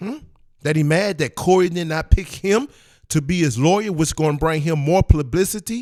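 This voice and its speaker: An animated man with a high pitch and lively intonation at a moderate pace, in a very clean recording with a silent background. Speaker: religious commentator reacting to videos. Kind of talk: reaction video commentary.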